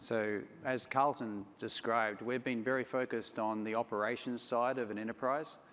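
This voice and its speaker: A man with an Australian accent talks at a moderate pace and medium pitch. His intonation is monotone and flat. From Australia, Sydney. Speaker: company CEO. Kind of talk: conference talk.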